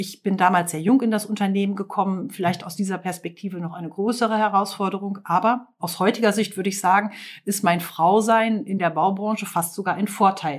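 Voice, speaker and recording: A woman speaks at a fairly quick pace and a medium pitch, with hardly any pauses and fairly even intonation, in a normal speaking voice. The recording is very clean, with a silent background. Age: 40s. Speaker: construction company owner. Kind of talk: interview.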